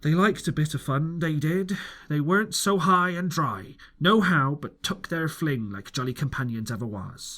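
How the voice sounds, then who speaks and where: Growling, a man performs a put-on character voice at a fairly high pitch. His pace is moderate. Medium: read story. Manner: growling, rough.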